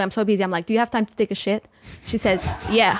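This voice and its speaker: A woman speaks in a fairly high pitch with a Portuguese accent. Her intonation stays fairly even. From Portugal. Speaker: stand-up comedian and actress. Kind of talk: casual interview chat.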